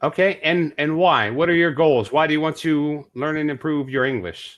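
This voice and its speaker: A man with a normal speaking voice and an American accent, fairly high in pitch with ordinary pitch variation, at a moderate pace against a quiet background. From California, US. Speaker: online English tutor. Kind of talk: tutoring session.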